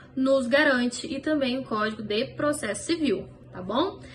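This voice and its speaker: A woman's high voice varies in pitch in an ordinary way, with background noise noticeable behind her. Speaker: law professor. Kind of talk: lecture.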